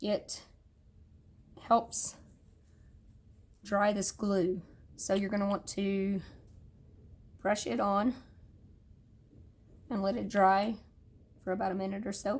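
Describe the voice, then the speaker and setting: A woman of medium pitch speaks very slowly, leaving long, frequent pauses. Her voice is somewhat breathy, and her intonation stays fairly even. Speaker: nail technician. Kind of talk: tutorial. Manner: casual, with fillers.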